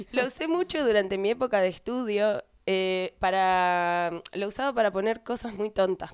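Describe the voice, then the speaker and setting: Over a quiet background, a woman speaks with a Rioplatense accent at a medium pitch with ordinary pitch variation. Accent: Argentine Spanish (rioplatense). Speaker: podcast co-host. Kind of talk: casual chat.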